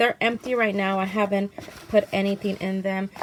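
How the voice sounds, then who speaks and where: A woman's fairly high, monotone voice with flat intonation, over noticeable background noise. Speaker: craft youtuber. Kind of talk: tutorial. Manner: halting, many ums; casual.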